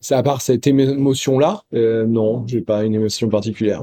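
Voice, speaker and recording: A man with a dark, mellow tone talks at a moderate pace, using ordinary pitch variation. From France, Creuse. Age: 40s. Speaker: interviewee, citizen. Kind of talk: street interview. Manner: hesitant, many fillers.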